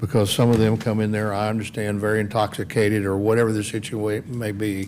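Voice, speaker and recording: Audible room echo around a man's fairly low voice, in a Texas accent. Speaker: city council member. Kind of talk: council meeting discussion.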